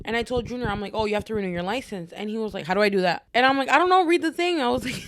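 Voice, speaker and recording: Over noticeable background noise, a woman with a fairly high pitch talks at a very fast pace, her pitch swinging very widely. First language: Spanish. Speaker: podcast co-host. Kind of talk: casual chat.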